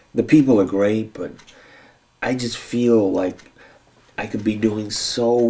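A man speaks in a dark, mellow tone. His intonation is fairly even. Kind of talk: scripted drama dialogue. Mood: frustrated, restless. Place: home room.

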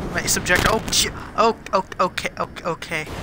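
Over noticeable background noise, the speaker goes at a moderate pace with fairly even intonation. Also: man. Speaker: gaming YouTuber. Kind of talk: casual gameplay chat. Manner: playful, laughs often.

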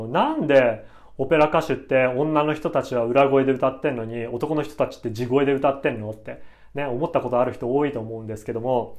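With fairly even intonation, the speech moves at a fairly quick pace against a quiet background. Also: man. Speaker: vocal instructor. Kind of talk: conversational. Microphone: lapel.

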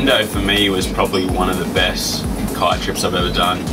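A man's voice with music in the background. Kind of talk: interview answer. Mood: relaxed, content. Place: home room.

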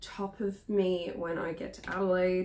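This is a woman talking. She takes her words at a fairly slow pace. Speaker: vlogger. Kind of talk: casual vlog chat. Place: home room. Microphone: phone near.

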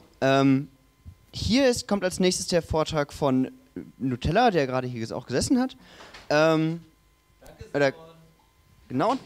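Pausing long and often, a man speaks at a fairly slow pace in a fairly high pitch with very wide pitch swings. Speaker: session moderator. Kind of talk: moderating Q&A. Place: hall. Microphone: handheld.

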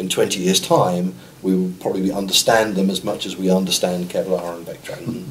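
A man with a southern English accent speaks at a very deep, low pitch and a moderate pace. His intonation is fairly even, with light background noise behind him. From Sussex, England. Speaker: parachute engineer. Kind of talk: interview answer. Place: meeting room.

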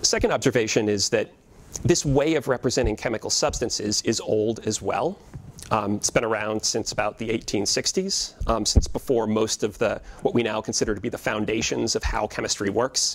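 Ordinary pitch movement from a man speaking at a medium speed. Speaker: historian of science. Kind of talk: lecture. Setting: stage with audience. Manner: many filler words, halting. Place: classroom.

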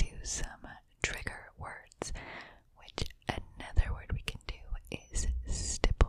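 A soft-spoken woman whispers at a fairly slow pace, pausing long and often, her loudness swinging widely. The sound is dry with no echo, over light background noise. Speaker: ASMR creator. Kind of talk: soft ASMR chat and trigger words. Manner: close soft ASMR whisper. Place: home room. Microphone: studio mic.

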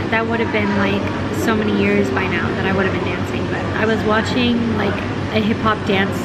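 A woman talks at a fairly quick pace amid loud background noise. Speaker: travel vlogger. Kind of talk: casual vlog chat. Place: cafe. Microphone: phone near.

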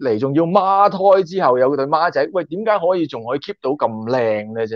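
Over a quiet background, a man speaks at a moderate pace in an animated tone. His pitch swings very widely, and the sound is dry with no echo. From Hong Kong. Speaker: YouTuber and former stunt extra; YouTuber. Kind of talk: casual interview chat. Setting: online call. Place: home room. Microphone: video call.

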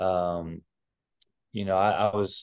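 A man's fairly low voice against a quiet background. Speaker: basketball head coach. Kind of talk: interview answer. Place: office. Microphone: video call.

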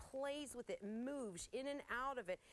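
The woman's pitch moves in an ordinary way. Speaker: TV shopping host. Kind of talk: product sales presentation. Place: studio. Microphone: lapel.

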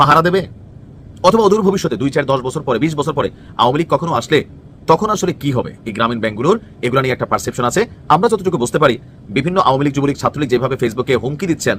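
With an ordinary speaking voice, a man speaks at a fairly high pitch and with lively intonation. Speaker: political commentator. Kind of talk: political commentary. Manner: colloquial, conversational.

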